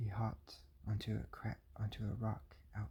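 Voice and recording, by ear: A text is read aloud in a natural voice.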